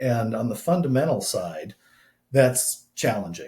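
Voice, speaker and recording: A man speaks in a dark, mellow tone that is somewhat breathy. His pace is fairly slow. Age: 60s. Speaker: scientist and systematic trader. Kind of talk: podcast interview. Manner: many filler words, halting.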